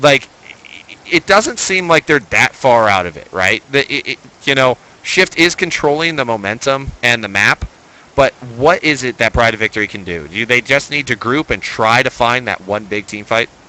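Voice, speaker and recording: Loud and animated, a man speaks with lively intonation. His tone is bright and sharp, and the sound is dry and close with no echo. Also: medium pitch for a man, moderate pace. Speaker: esports caster. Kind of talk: live commentary.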